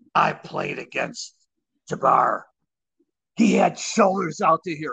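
In a put-on character voice that is gravelly and raspy, a man speaks at a fairly slow pace with a high pitch.

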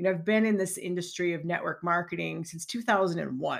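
A woman with an American accent speaks at a medium pitch, with an unremarkable speaking voice and ordinary pitch variation. The recording is very clean, with a silent background. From Chicagoland area, Illinois. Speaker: podcast host, network marketing business coach. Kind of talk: solo podcast monologue. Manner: conversational, with frequent fillers and restarts.

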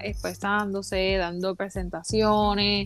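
On a very clean recording with a silent background, a woman with a Puerto Rican accent talks at a very slow pace. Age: 30s. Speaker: podcast guest. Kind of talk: casual chat.

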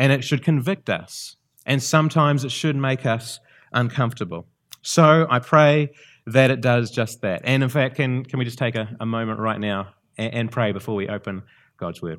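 This man speaks at a moderate pace in a New Zealand accent, at a medium pitch with ordinary pitch variation. The recording is very clean and the background silent. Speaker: visiting preacher. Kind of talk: sermon. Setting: church. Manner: halting.

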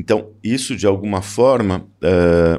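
A man speaks at a very slow pace in a dark, mellow tone. The recording is very clean, with a silent background. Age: 60s. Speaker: photographer. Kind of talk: interview.

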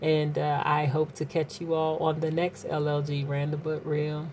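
A woman speaks with a very deep, low pitch, somewhat breathy and monotone, at a fairly slow pace. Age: 40s. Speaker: podcast host and singer. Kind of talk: casual monologue. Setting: home, in quarantine. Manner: hesitant with frequent fillers.

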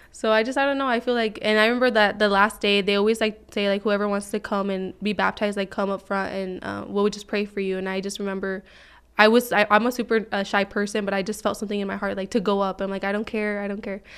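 A woman's medium-pitched, monotone voice at a very fast pace with hardly any pauses, on a very clean recording with a silent background. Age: 20s. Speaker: caseworker. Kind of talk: casual chat. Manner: halting.

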